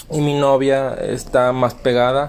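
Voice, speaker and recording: A man's fairly high voice comes through over noticeable noise in the background. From Mexico, Veracruz. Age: young. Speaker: podcast host, small business owner. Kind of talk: casual chat.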